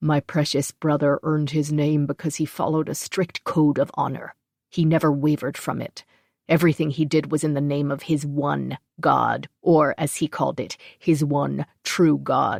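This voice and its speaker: A female-sounding voice growls in a put-on character voice at a low-to-middle pitch. The pace is moderate, and the recording is very clean with a silent background. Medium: read story. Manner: loud, bellowing.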